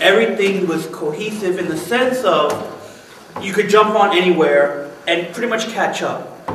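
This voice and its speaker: A man speaks with ordinary pitch variation. The recording has light background noise and audible room echo. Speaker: podcast panelist. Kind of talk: casual discussion. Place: office. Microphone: camera far.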